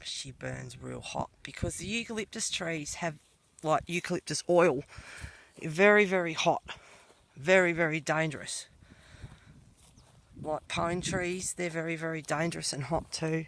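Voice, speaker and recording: The speaker has an Australian accent and a fairly slow pace. Long, frequent pauses break up the speech. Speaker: colouring channel owner, farm owner. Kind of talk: casual walking vlog tour.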